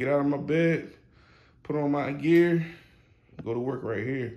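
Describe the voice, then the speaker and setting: A man speaks at a moderate pace with fairly even intonation. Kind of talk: casual vlog chat. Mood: relaxed, pleased. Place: home room. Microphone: phone near.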